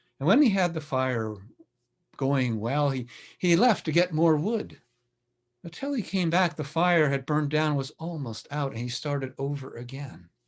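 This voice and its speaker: Against a quiet background, a man with a plain, everyday voice speaks at a moderate pace, with a fairly high pitch and lively intonation. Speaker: storyteller. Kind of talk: storytelling, folktale telling to a live audience.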